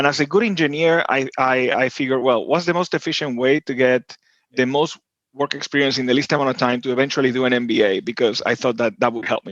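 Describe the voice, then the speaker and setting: At a very fast pace, a man with an Argentine accent talks at a medium pitch with ordinary pitch variation, the sound dry and close with no echo. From Argentina, Buenos Aires. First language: Spanish. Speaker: tech executive. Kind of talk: podcast interview. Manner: hesitant, many fillers and repeats.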